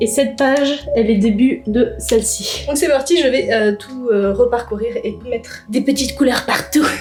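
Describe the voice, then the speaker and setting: There's noticeable background noise behind the voice. The woman speaks at a moderate pace. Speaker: YouTuber. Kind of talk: vlog narration.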